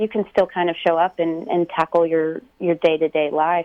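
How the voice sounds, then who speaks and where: A plain, everyday voice with an American accent at a moderate pace. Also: woman. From Texas. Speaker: singer and stage actor. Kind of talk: radio interview.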